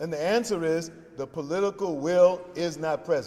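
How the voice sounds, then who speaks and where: Against noticeable background noise, a man with a South Carolina accent speaks at a high pitch. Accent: US Southern (South Carolina). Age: 70s. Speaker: pastor and faith leader. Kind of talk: press conference remarks. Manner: preacherly, emphatic.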